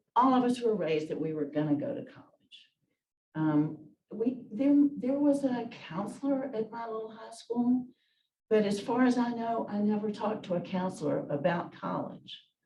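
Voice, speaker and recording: In a Southern US accent, a woman speaks at a moderate pace with a fairly high pitch, a dark, mellow tone, a somewhat breathy voice, lively intonation and big swings in loudness, with audible room echo. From US South, Memphis, Tennessee. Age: 70s. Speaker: retired lawyer. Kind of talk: oral history interview.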